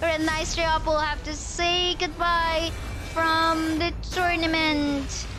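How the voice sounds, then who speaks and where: An extremely high-pitched woman's raised, projected voice at a very slow pace, with audible room echo and music in the background. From Philippines. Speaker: esports shoutcaster. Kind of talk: live commentary. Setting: livestream. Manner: animated.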